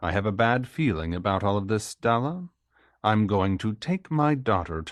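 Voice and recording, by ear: Lively intonation, reading aloud in a natural voice, quiet background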